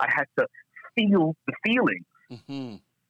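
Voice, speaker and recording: With a Toronto accent, a man speaks at a moderate pace in a bright, sharp tone, his pitch swinging very widely, in a dry, close sound with no echo. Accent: Canadian English (Toronto). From Scarborough, Toronto, Canada. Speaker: pastor and church leader. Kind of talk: interview.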